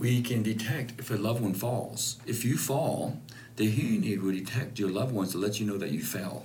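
A man talks at a fairly quick pace. His voice carries vocal fry. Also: medium pitch for a man, ordinary pitch variation. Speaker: hearing specialist. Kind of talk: explanatory consultation. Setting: clinic.

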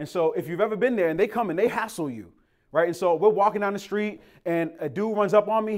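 Speaking at a very fast pace with lively intonation and an animated tone, this American-accented voice comes through on a very clean recording with a silent background. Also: man. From Boston, Massachusetts. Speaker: pastor. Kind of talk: sermon.

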